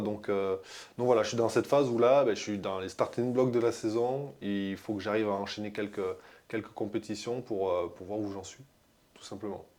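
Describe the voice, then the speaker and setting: With fairly even intonation and big swings in loudness, a man with a fairly low pitch talks at a moderate pace, leaving long, frequent pauses. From France. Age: 30s. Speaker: decathlete. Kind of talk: interview. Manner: halting, many fillers.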